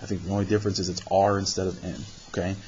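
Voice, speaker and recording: Over noticeable background noise, a man speaks at a fairly quick pace. His pitch is fairly low. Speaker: math teacher. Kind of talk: tutorial.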